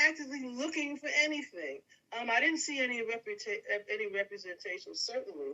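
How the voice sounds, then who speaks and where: A woman with an American accent talks at a fairly quick pace, her pitch swinging very widely. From US, northeastern state, Caribbean family background. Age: 60s. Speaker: podcast guest. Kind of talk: interview. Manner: halting, many fillers.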